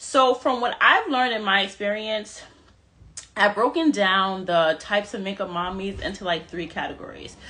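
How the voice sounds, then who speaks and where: A woman speaks at medium pitch with an animated tone and ordinary pitch variation. Noticeable background noise runs behind her. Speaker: makeup artist and mom influencer. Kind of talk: live stream tutorial. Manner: fast.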